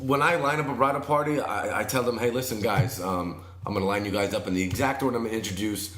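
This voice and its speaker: A man talks at a very fast pace with ordinary pitch variation. There is audible room echo and noticeable background noise. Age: 30s. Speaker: wedding DJ and MC. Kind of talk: casual podcast interview. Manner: energetic.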